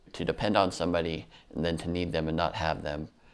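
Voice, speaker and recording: With vocal fry in his very deep, low voice, a man speaks at a moderate pace with ordinary pitch variation. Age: 30s. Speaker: artist with a rare genetic disorder. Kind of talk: documentary interview. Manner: halting, with repetitions.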